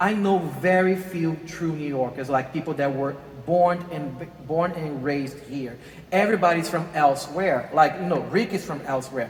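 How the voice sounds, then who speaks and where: A man with a Brazilian Portuguese accent speaks at a moderate pace in a fairly high pitch with ordinary pitch variation, amid audible room echo and noticeable background noise. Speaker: interview host. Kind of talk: interview. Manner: halting.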